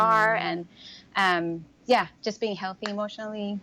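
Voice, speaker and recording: Moderate pace and fairly even intonation from a woman with a Swedish accent and a medium-pitched voice. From Sweden. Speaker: new mother. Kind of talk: interview answer.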